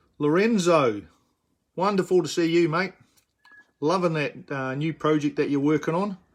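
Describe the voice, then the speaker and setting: A man with a New Zealand accent, fairly high-pitched, with ordinary pitch variation, a moderate pace and long, frequent pauses. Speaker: miniature figure painter. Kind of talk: live-streamed painting tutorial. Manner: hesitant with fillers.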